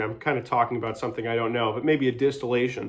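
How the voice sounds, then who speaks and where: A loud man's voice over a quiet background. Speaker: vlogger. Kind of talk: casual monologue. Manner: halting.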